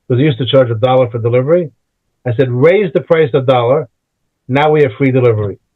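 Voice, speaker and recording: Talking at a very fast pace, a man speaks with an American accent. His pitch is medium, with ordinary variation. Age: 70s. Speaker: physics professor. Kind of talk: interview. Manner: casual storytelling with hesitations.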